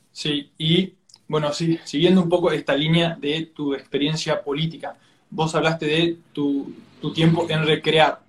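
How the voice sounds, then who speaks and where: A man's fairly high-pitched, flat monotone at a fairly slow pace. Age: 20s. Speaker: student interviewer. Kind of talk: interview. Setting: Instagram live stream. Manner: halting.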